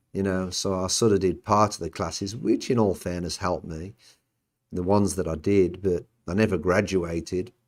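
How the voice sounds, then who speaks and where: At a moderate pace, a man in a Birmingham accent speaks with a very deep, low voice and fairly even intonation on a very clean recording with a silent background. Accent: Birmingham English (Brummie). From England, Birmingham. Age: 60s. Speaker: podcast host, former Olympic athlete. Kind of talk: casual chat. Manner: halting.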